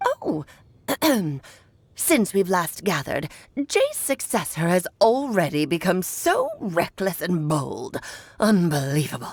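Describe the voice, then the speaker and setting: A woman uses a put-on character voice at a medium pitch. She goes at a fairly slow pace, with long, frequent pauses. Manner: condescending, scolding.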